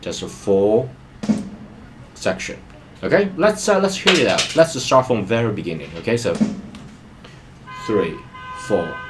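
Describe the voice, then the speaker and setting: A man with very wide pitch swings and long, frequent pauses, music playing behind him. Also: medium pitch for a man, fairly slow pace. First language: not English. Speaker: music learning vlogger. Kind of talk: tutorial.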